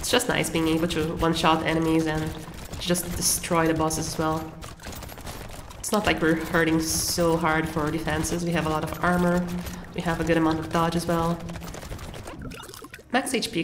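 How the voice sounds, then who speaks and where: Over noticeable background noise and audible room echo, a woman speaks with a fairly low pitch and monotone, flat intonation, leaving long, frequent pauses. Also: moderate pace. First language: not English. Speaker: gaming content creator. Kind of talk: gameplay commentary. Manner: casual, occasional self-corrections.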